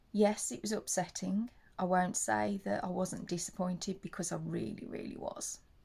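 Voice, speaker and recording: A woman speaks with an English accent. Her pace is moderate. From England. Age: 40s. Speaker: leukaemia patient and vlogger; charity awareness vlogger. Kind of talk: personal testimony vlog. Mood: earnest, upbeat about her illness. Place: home room.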